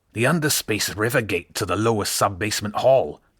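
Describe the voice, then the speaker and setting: A man puts on a character voice with a fairly low pitch. He talks at a fairly quick pace. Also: very clean recording, silent background. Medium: read story. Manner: brash, bantering.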